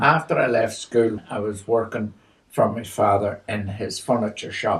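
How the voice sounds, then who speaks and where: Somewhat breathy and at a very slow pace, a man talks with a fairly low pitch and fairly even intonation. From Northern Ireland, County Armagh; later northern England. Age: 80s+. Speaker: elderly storyteller. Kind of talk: personal testimony. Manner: halting, with many fillers.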